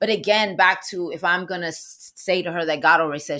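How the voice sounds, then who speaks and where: Against a quiet background, a woman with a New York accent talks in a fairly low voice, her tone animated, bright and sharp, with ordinary pitch variation. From New York, the Bronx. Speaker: actress and minister. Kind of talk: casual chat.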